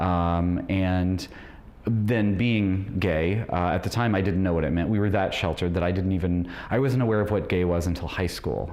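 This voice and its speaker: With an American accent, a man talks at a moderate pace in a very deep, low voice of very even loudness, with audible room echo. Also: ordinary pitch variation. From rural Illinois, US Midwest. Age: 40s. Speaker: debate contestant. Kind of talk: interview. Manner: halting, with many fillers.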